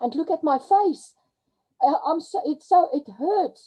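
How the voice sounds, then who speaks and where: A woman talks in a South African accent. Her pace is fairly slow. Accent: Afrikaans South African English. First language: Afrikaans. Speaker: crypto webinar presenter. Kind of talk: webinar talk. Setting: video call. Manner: halting; animated.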